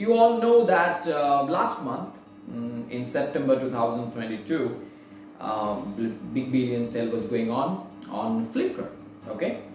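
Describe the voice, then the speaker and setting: Against clear background music and audible room echo, a man speaks at a very slow pace. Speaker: book haul vlogger. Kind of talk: casual vlog chat.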